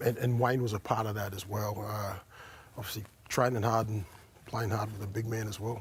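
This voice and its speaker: A man with an Australian accent, somewhat breathy, at a moderate pace. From Brisbane, Australia. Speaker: former rugby league player. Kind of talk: casual chat. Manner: halting.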